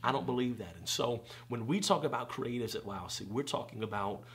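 A man at a moderate pace, with ordinary pitch variation. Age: 30s. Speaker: preacher and conference founder. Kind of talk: casual interview. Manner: animated. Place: home room.

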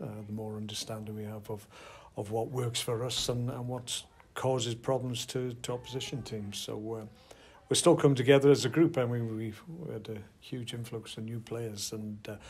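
A somewhat breathy male voice with fairly even intonation at a moderate pace. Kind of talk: interview answer. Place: hall. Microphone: handheld.

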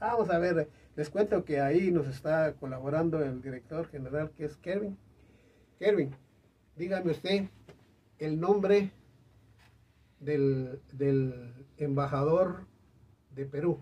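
A man speaks at a very slow pace with long, frequent pauses. His voice is somewhat breathy with a dark, mellow tone, a fairly high pitch and ordinary pitch variation. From Guatemala. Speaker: singer; host or guest of a talk show. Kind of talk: interview chat. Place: studio.

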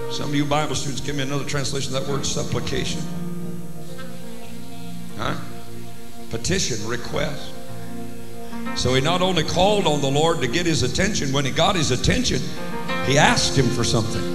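A man talks at a fairly quick pace. Clear music can be heard behind him. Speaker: preacher. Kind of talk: sermon. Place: church. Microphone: handheld.

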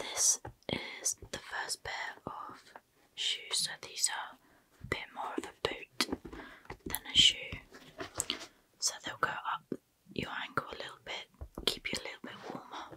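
A woman whispers at a fairly slow pace. Her loudness swings widely, and her pauses are long and frequent. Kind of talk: soft role-play shop chat. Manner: soft close-mic ASMR voice. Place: home room. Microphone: studio mic.

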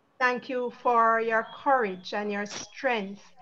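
The tone is bright and sharp. Delivery is very slow, with fairly even intonation. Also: woman. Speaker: forum moderator. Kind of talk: formal moderation. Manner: formal.

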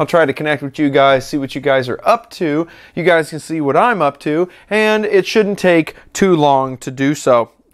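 A man speaks at a moderate pace with ordinary pitch variation over a quiet background. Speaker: maker channel host. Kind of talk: casual vlog chat. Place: workshop. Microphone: lapel.

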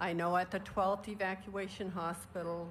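A woman speaks at a fairly low pitch with monotone, flat intonation over light background noise. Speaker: retired army nurse, war veteran. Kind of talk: ceremonial speech. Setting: outdoor memorial ceremony. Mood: solemn, earnest. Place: open country. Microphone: podium.

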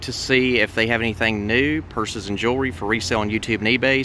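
Talking at a fairly quick pace with fairly even intonation, a man comes through dry and echo-free over light background noise. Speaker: thrift reseller vlogger. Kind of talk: casual vlog chat. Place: street. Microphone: phone near.

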